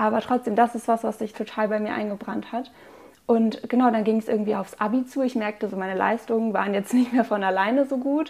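A woman's plain, everyday voice: fairly high pitch, fairly even intonation, fairly quick pace. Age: 20s. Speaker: student sharing eating disorder recovery story. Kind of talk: personal testimony in interview.

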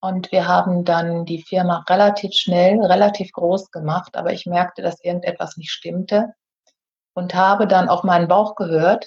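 A woman with a medium pitch and a somewhat breathy voice talks at a moderate pace in a monotone, flat way. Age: 50s. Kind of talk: casual interview.

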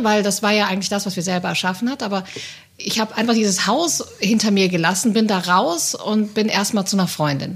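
At a fairly quick pace, a plain, everyday voice moves with ordinary pitch variation. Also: woman. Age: 30s. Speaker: agency employee. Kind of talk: casual chat.

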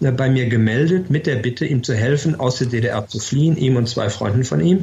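This man has an ordinary speaking voice at a medium pitch. His pace is moderate. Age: 60s. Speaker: former ambassador. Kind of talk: interview.

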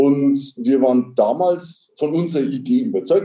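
Lively intonation runs through a man's fairly high-pitched voice. His tone is dark and mellow. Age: 50s. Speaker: tax advisor, firm partner. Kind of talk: interview.

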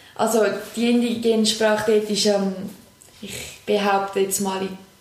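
Speaking at a moderate pace, a woman with a medium pitch is heard over noticeable background noise, with audible room echo. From Switzerland, Küsnacht near Zurich. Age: 20s. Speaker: teaching assistant. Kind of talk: casual interview.

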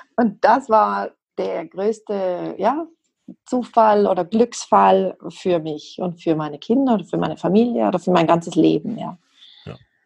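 A woman at medium pitch, with lively intonation, big swings in loudness and a fairly slow pace. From South Tyrol. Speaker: homeopath. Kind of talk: interview.

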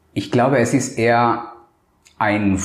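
Noticeable background noise runs under this man's voice. The room echo is audible. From Colombia. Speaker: cosmetic surgeon. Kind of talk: interview. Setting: medical practice. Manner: hesitant, many filler sounds.

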